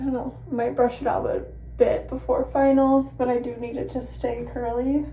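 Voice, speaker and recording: Noticeable background noise and audible room echo around a woman's moderately paced speech. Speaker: bodybuilding competitor and vlogger. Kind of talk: casual vlog talking to camera. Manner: chatty, filler-heavy.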